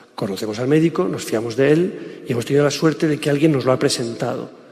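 There is audible room echo and noticeable background noise as a man with a fairly high pitch speaks with ordinary pitch variation. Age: 50s. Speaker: public speaker. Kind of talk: lecture. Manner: halting.

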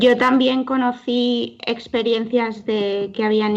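The background is quiet as a woman speaks very slowly. Her intonation stays fairly even. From Valencia region, Spain (Alzira). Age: young. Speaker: young lay missionary volunteer. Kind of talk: radio interview.

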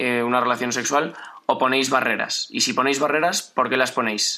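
A man talks at a medium pitch. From Madrid, Spain. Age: 20s. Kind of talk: radio interview.

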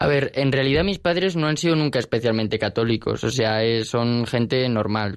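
With an unremarkable speaking voice, a man talks at a fairly quick pace and a medium pitch with ordinary pitch variation, on a very clean recording with a silent background. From Spain, Alicante. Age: young. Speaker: university student. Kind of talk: radio interview.

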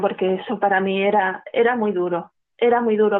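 Fairly even intonation and a fairly high pitch define how this woman speaks. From Spain, Málaga (Andalusia). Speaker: church charity coordinator. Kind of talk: testimony. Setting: phone call. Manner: halting.

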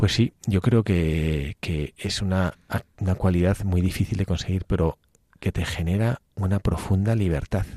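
At a very deep, low pitch and a fairly slow pace, a man speaks with fairly even intonation and a dark, mellow tone, the sound dry and close with no echo on a very clean recording with a silent background. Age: 50s. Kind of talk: radio talk on faith. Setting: radio studio.

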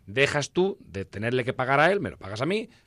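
The man talks at a very fast pace. His pitch moves in very wide swings. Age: 50s. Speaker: entrepreneur and shop owner. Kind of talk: interview. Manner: animated.

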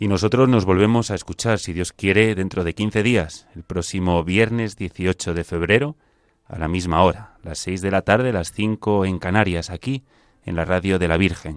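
The pace is moderate and the pitch variation ordinary. The recording is very clean with a silent background and a dry, close sound with no echo. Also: man. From Spain, Ourense (Galicia). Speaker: military chaplain and radio host. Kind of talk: radio program hosting. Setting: radio studio.

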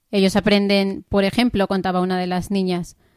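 On a very clean recording with a silent background, a woman of medium pitch speaks at a moderate pace, the sound dry and close with no echo. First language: English (speaking Spanish). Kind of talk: radio interview. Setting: studio.

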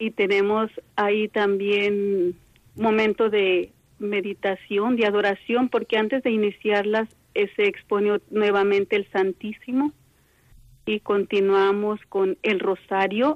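Speaking very slowly, a woman keeps a medium pitch, a monotone, flat intonation and very even loudness. The sound is dry and close, with no echo. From Mexico. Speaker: contemplative nun. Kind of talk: phone interview. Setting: phone call.

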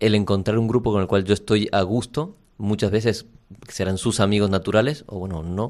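A man with a normal speaking voice talks at a fairly quick pace and a fairly low pitch, his intonation fairly even, on a very clean recording with a silent background. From Argentina. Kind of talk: radio interview.

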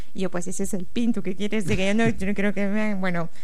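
A woman with a Honduran accent speaks at a very fast pace with fairly even intonation. There is audible room echo and noticeable background noise. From Honduras, Tegucigalpa. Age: 30s. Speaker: diocesan family office secretary. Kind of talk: radio interview, testimony.

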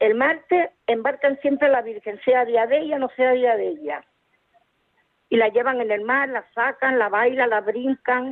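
This woman has a high-pitched voice. Her pitch variation is ordinary. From Tenerife, Canary Islands. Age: 60s. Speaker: caller. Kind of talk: phone-in chat. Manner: halting.

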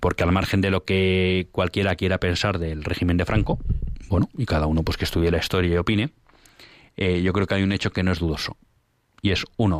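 On a very clean recording with a silent background and a dry, close sound with no echo, a man with a very deep, low pitch talks at a fairly quick pace with fairly even intonation and very even loudness. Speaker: radio host. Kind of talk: radio talk show.

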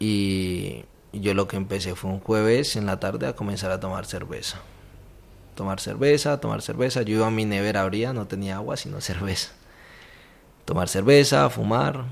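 A man at a fairly low pitch with ordinary pitch variation, going at a fairly slow pace with long, frequent pauses. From Colombia. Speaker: university volunteer coordinator. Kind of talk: testimony interview. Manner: halting, with repeated words.

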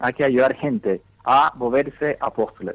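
A man with an English accent speaks at a fairly high pitch and moderate pace, the sound dry and close with no echo. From US, Dallas, Texas. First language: English (speaking Spanish). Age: young. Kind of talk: radio interview. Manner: halting.

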